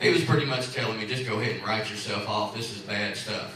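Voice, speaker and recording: A man with a Tennessee accent talks at a very fast pace, with audible room echo and noticeable background noise. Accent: West Tennessee Southern. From West Tennessee. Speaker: cancer survivor speaker. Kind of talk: personal testimony talk. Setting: church hall with audience.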